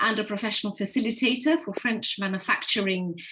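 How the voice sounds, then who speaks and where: The voice has an English accent. Its tone is bright and sharp. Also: woman. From England. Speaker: facilitator. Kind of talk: online panel moderation. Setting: video call.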